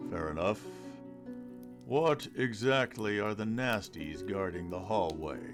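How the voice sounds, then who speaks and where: A man puts on a character voice, pitched fairly low, speaking at a fairly slow pace with long, frequent pauses while music plays clearly in the background. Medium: read story. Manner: terse, guarded.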